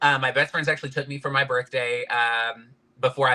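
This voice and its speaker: This man speaks with a Southern US accent. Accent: Southern twang. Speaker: podcast guest, fashion industry worker. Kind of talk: casual interview chat. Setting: live-streamed podcast interview.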